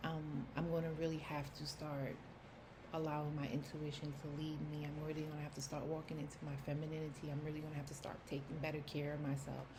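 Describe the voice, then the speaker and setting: Speaking at a very fast pace with a New York accent, a woman delivers her words in a very deep, low pitch and a monotone, flat intonation, with noticeable background noise and audible room echo in the recording. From New York City. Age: 30s. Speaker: personal vlogger. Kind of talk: personal testimony. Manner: casual, halting with fillers.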